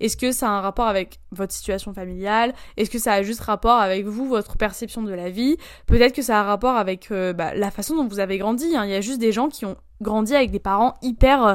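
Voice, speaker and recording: A woman speaks at a fairly quick pace and a fairly high pitch, with ordinary pitch variation. The recording is very clean, with a silent background. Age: 19. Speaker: solo podcaster. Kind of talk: casual monologue. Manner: hesitant, many fillers.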